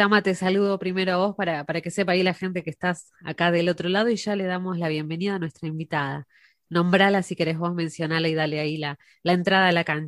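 Speaking at a very fast pace, a woman keeps a fairly low pitch and fairly even intonation. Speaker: radio host. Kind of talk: interview.

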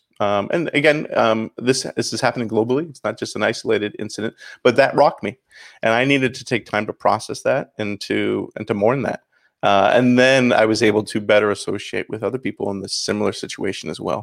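Speaking fairly quickly in a plain, everyday voice with a Canadian accent, a man keeps a medium pitch and ordinary pitch variation, recorded very cleanly with a silent background and a dry, close sound with no echo. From Canada, St. Catharines, Ontario. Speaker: pastor. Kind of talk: interview.

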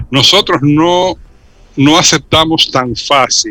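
A man with a fairly high pitch and a bright, sharp tone, at a very slow pace with ordinary pitch variation. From Dominican Republic. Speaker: cultural commentator. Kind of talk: radio interview.

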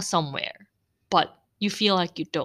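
The sound is dry and close with no echo, and the voice has a bright, sharp, animated tone. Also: woman. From Philippines (Cebu), Korean parents. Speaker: podcaster. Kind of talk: casual monologue. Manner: animated, laughs often.

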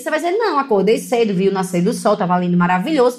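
A woman speaks with lively intonation. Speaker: financial educator. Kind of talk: casual video talk. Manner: animated.

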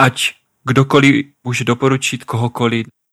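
A man with a medium-pitched voice speaks in a flat monotone, recorded very cleanly against a silent background with a dry, close sound and no echo. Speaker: podcast co-host, adventurer. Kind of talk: casual chat.

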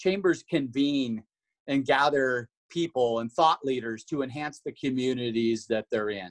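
Recorded with a dry, close sound with no echo, a man with an American accent speaks at a fairly slow pace in an unremarkable speaking voice, with medium pitch and ordinary pitch variation. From Washington. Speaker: chamber of commerce marketing staff. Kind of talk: casual interview.

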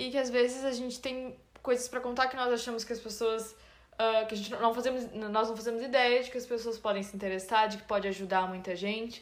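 A woman's fairly high, flat, monotone voice at a fairly quick pace, with audible room echo. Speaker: podcast co-host. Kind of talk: casual chat.

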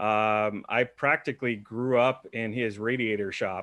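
Over a quiet background, a man with a plain, everyday voice speaks at a medium pitch and moderate pace with fairly even intonation. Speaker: podcast interviewer and marketer. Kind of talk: casual interview chat.

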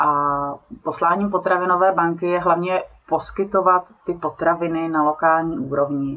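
An ordinary speaking voice belongs to a woman with a fairly low pitch and very even loudness. She keeps a moderate pace and fairly even intonation. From South Bohemia, Czechia. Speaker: nonprofit director. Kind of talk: interview.

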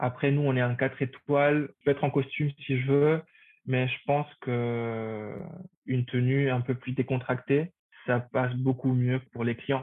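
Speaking at a fairly slow pace and medium pitch, a man delivers his words in a monotone, flat intonation. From Paraguay. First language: Spanish (speaking French). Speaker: hotel front office manager. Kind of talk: interview.

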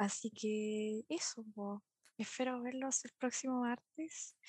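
A woman speaks in a high pitch with a Chilean accent, the sound dry and close with no echo. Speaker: podcast host. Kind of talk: casual chat.

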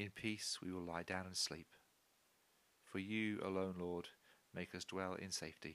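With long, frequent pauses, a man talks in a very deep, low pitch and a monotone, flat intonation. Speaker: church service leader. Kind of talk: fervent devotional prayer, spoken with reverent intensity. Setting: church podcast recording. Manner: earnest, pleading, intimate; slow, solemn, measured.

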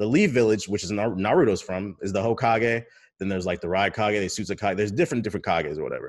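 Pitched fairly low, a man talks at a very fast pace with ordinary pitch variation in a very clean recording with a silent background. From Washington DC. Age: 20s. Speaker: streamer and content creator. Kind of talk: casual chat. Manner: proper-sounding speech.

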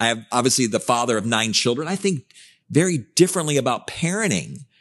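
With vocal fry, a man talks at a fairly quick pace and with very wide pitch swings. The background is quiet. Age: 50s. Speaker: podcast host and life coach. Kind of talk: casual chat.

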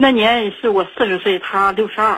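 Fairly high-pitched female speech, delivered at a moderate pace. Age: 40s. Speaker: caller. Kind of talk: phone-in personal story. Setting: phone call. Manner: halting, many fillers.

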